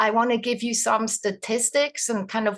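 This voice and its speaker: A woman with a Swiss accent speaks at a fairly high pitch. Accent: Swiss accent, noticeable. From Switzerland. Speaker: doula trainer, retired nurse. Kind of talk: webinar presentation.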